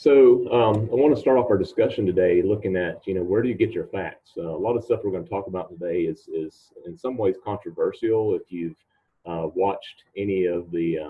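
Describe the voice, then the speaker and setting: Speaking at a fairly quick pace, a man with an unremarkable speaking voice keeps a fairly low pitch and ordinary pitch variation. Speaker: presenter. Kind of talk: presentation talk. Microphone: video call.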